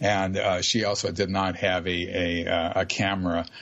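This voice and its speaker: In a monotone, flat delivery, a man speaks at a fairly slow pace with a very deep, low pitch. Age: 70s. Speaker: UFO abduction researcher. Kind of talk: radio interview. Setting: live radio show. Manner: halting, many fillers.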